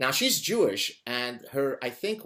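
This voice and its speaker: With an Arabic accent, a man speaks at a medium pitch in a bright, sharp tone with lively intonation. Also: very clean recording, silent background. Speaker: interview show host. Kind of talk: interview.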